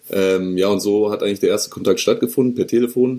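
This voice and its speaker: Fairly low in pitch and dark, mellow in tone, a man talks at a fairly quick pace with fairly even intonation. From northern Germany, Hanover region. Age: 20s. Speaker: drinks startup co-founder. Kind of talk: interview.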